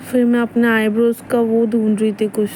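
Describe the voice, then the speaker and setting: Over noticeable background noise, a woman speaks at a fairly high pitch. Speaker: vlogger. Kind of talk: casual vlog narration. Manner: casual, chatty.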